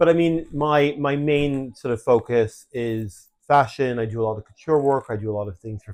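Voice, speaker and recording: A man with a Canadian accent and a plain, everyday voice talks at a moderate pace with ordinary pitch variation against a quiet background. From Canada. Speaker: fashion designer, podcast co-host. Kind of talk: casual podcast chat.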